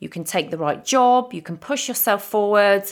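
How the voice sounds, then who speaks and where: On a very clean recording with a silent background, a woman with an English accent uses lively intonation. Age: 40s. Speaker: confidence coach. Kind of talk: personal monologue. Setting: home recording.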